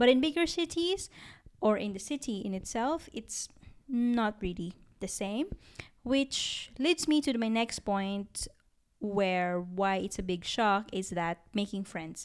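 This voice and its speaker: Speaking very slowly in a Filipino accent, a woman uses lively intonation at a fairly high pitch. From Philippines. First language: Tagalog. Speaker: podcast co-host. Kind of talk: casual chat.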